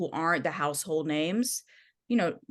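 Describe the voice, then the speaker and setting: Against a quiet background, a woman with an American accent talks at a moderate pace, fairly low in pitch, with lively intonation. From US Midwest, Michigan. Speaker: music journalist and author. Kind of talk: podcast interview.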